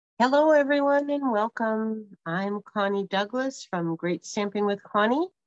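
A woman's voice sounds dry with no echo over a quiet background. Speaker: craft host. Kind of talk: casual livestream chat. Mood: amused, a bit flustered. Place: home room. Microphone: webcam.

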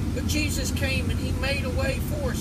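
A man speaks at a moderate pace over loud background noise. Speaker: preacher. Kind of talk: sermon-style Bible teaching to camera. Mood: earnest, fervent praise. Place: car. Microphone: phone near.

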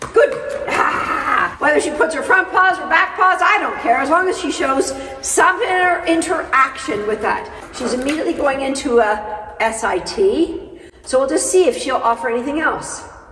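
Amid audible room echo and music in the background, a woman speaks at a moderate pace in a raised, projected voice with very wide pitch swings. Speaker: dog trainer. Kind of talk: tutorial. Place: hall.

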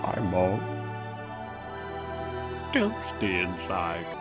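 With clear music in the background, a man uses a put-on character voice pitched low. He speaks at a very slow pace with very wide pitch swings.

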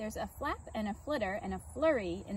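Delivered in a natural reading voice, the speech has lively intonation.

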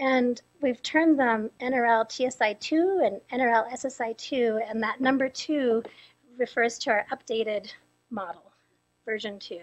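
A woman speaks at a very slow pace. Her pitch is high, with ordinary pitch variation. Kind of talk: lecture. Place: hall. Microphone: podium.

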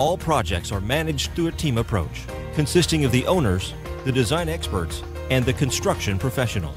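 A man talks at a very fast pace with very wide pitch swings, the sound dry with no echo and clear music in the background. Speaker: voice actor. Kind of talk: corporate narration. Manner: confident, clear, convincing.

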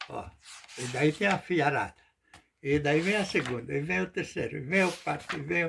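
Noticeable background noise fills the recording. A man talks over it. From western Santa Catarina, Brazil. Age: 80s+. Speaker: retired farmer and stone-wall builder. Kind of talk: casual chat. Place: home room. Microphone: phone near.

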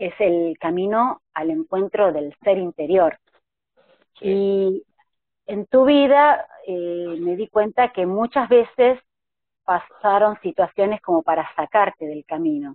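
A woman talks at a very slow pace. The background is quiet, and the sound is dry with no echo. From Argentina, Córdoba; Argentina. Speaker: live stream interviewer. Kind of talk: interview. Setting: video call. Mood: warm, reflective. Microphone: video call.

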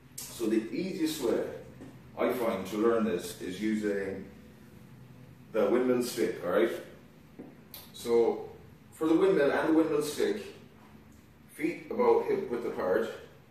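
A man speaks at a fairly slow pace, with long, frequent pauses. Strong room echo surrounds his voice. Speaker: kettlebell coach. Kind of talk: tutorial. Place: garage. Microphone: camera far.

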